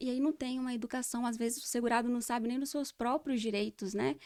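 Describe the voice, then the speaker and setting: High female speech with fairly even intonation. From Espírito Santo, Brazil. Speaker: social security lawyer. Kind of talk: interview conversation.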